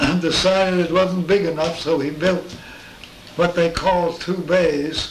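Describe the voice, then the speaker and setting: A high-pitched man speaks with fairly even intonation against noticeable background noise. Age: 80s+. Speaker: space artist. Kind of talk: interview answer. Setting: home.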